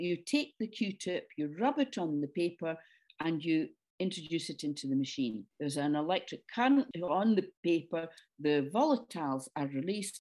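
Speaking with a Scottish accent, a woman uses a fairly low pitch and a dark, mellow tone at a moderate pace, her pitch swinging very widely. The recording is very clean, with a silent background. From Scotland, Dundee. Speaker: retired nurse. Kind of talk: interview. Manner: halting.

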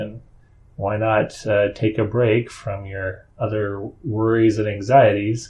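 A man with a normal speaking voice and fairly low pitch. He talks at a fairly slow pace. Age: 50s. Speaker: podcast host, father of seven. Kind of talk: casual interview chat.

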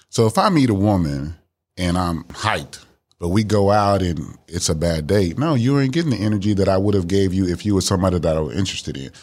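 In a very deep, low voice, a man talks fairly quickly with lively intonation. The recording is very clean, the background silent. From Miami, Florida. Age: 50s. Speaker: dating podcast guest. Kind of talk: casual chat.

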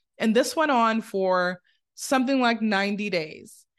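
Using an ordinary speaking voice, a woman talks at a moderate pace with lively intonation. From born in a developing country, moved to the US as a teen. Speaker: podcast host and speaker. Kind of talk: solo podcast monologue.

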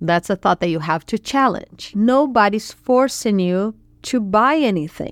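A woman with a Portuguese accent at a fairly slow pace, with ordinary pitch variation, dry and close with no echo, on a very clean recording with a silent background. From Brazil. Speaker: podcast host, money coach. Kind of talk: solo podcast tutorial.

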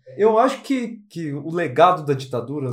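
Against noticeable background noise, a man speaks at a fairly high pitch with ordinary pitch variation. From Brazil, interior of São Paulo state (Lins). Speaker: podcast co-host. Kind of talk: casual discussion.

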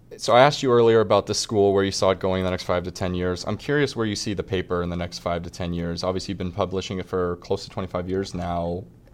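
The speech runs at a very fast pace with hardly any pauses. Pitch varies in an ordinary way. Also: man, very deep, low pitch for a man. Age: 20s. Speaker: podcast host. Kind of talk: interview. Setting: studio.

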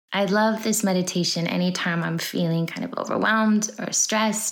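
Intonation here stays fairly even. It comes from an ordinary speaking voice. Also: woman. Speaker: meditation guide. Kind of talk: guided meditation. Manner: slow, calm, soothing; gentle, unhurried, with pauses between words.

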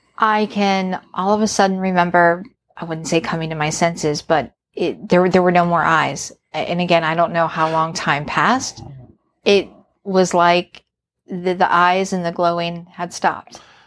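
A woman's normal speaking voice with an American accent, fairly low in pitch, moderate in pace, with fairly even intonation. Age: 40s. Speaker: podcast guest, host's wife. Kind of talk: casual interview, recounting a story.

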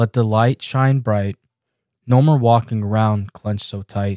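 A man's medium-pitched voice, dark, mellow, gentle and warm in tone, at a fairly slow pace with ordinary pitch variation, dry and close with no echo, on a very clean recording with a silent background. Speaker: podcast host and poet. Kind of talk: spoken word poetry reading, then reflective monologue. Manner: earnest, contemplative, rhythmic, gentle; warm, sincere, inspirational.

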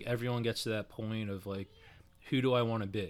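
A man speaks in an ordinary speaking voice at medium pitch, keeping a fairly quick pace. His intonation stays fairly even on a very clean recording with a silent background. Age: 30s. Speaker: personal training client. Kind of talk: casual chat.

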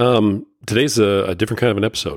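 Speaking at a fast pace, a man talks with a low pitch.

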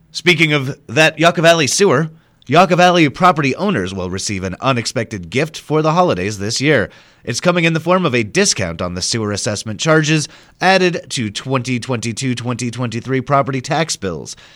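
Vocal fry colors a voice that moves at a fairly quick pace with very wide pitch swings. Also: man, medium pitch for a man. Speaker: radio news anchor. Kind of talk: news reading. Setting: radio studio broadcast. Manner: formal, steady newsreader delivery; brisk and even.

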